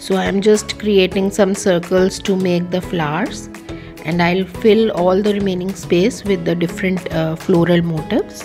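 A fairly slow pace over clear music in the background. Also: woman, ordinary pitch variation. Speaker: craft teacher. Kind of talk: tutorial. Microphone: phone near.

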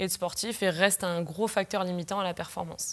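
Her pitch sits in the medium range, and she keeps a moderate pace. The woman's tone is bright and sharp, with fairly even intonation. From southern France (Pyrenees); southern France. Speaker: sports nutritionist. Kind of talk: interview. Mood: calm, explanatory. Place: studio.

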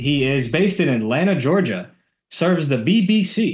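His intonation is lively. This man sounds somewhat breathy. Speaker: podcast host. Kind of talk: podcast interview. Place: home room. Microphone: video call.

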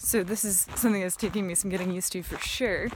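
With an American accent and fairly even intonation, the voice comes through dry with no echo over noticeable background noise. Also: woman. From United States. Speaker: video artist. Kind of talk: casual vlog talk to camera. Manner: hesitant, many filler words. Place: open country. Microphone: phone near.

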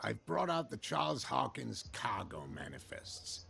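A man speaks in a put-on character voice, raspy and very deep, with lively intonation at a moderate pace. Clear background noise sits behind him. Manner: friendly, helpful.

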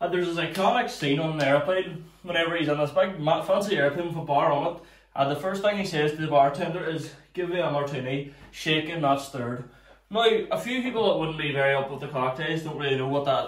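Amid audible room echo, a man speaks at a very fast pace with ordinary pitch variation. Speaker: home cocktail channel host. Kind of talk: casual tutorial chat. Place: home room. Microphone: camera far.

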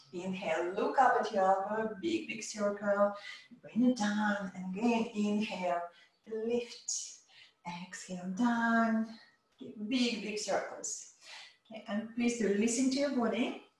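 With audible room echo, a woman speaks at a fairly slow pace with long, frequent pauses and ordinary pitch variation. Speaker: yoga teacher. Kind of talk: instruction. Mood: calm, encouraging. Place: home room. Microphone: camera far.

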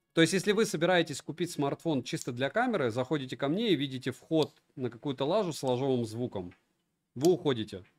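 Speaking at a fairly quick pace, a man with a fairly high pitch uses lively intonation. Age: 40s. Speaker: tech reviewer streamer. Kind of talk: live stream review. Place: home room.

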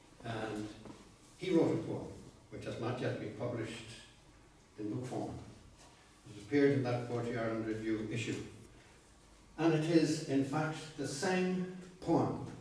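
There is strong room echo around a man speaking. He goes at a moderate pace with long, frequent pauses. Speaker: poet giving a talk. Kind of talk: lecture. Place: meeting room. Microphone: camera far.

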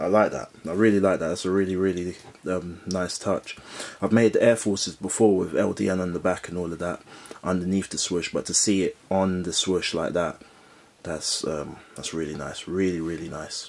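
A man speaks at a moderate pace with a London accent. His voice is very deep and low. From London, England. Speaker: sneaker reviewer YouTuber. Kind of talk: product review. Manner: enthusiastic, repetitive. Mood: upbeat enthusiastic. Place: home room.

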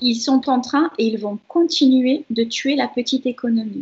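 A woman with a high pitch speaks at a very slow pace with ordinary pitch variation. The background is quiet. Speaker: social anthropologist and shaman; guest. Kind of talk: interview. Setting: video call. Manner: gentle. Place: home room. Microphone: video call.

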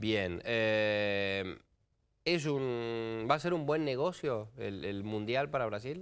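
Against a quiet background, a man speaks at a very slow pace. His intonation is lively. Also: medium pitch for a man. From Argentina. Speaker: TV news host. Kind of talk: TV news talk show. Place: studio.

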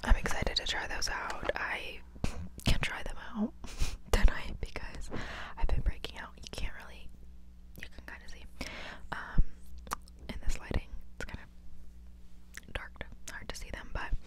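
Loud background noise accompanies a woman who speaks at a moderate pace with long, frequent pauses, the sound dry with no echo. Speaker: ASMR creator. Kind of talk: soft-spoken ASMR haul chat. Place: home room. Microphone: handheld.

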